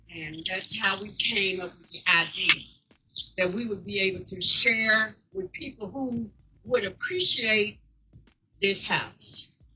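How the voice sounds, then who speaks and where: With music in the background, a woman with an American accent speaks at medium pitch and a fairly slow pace. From Mississippi. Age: 80s+. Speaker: co-founder of veterans house. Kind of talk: speech at community event.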